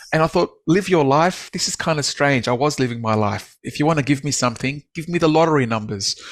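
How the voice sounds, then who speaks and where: A man with an Australian accent, fairly high pitch and ordinary pitch variation, at a very fast pace with hardly any pauses. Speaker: author and business speaker. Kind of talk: podcast interview, personal story. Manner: frequent fillers and restarts.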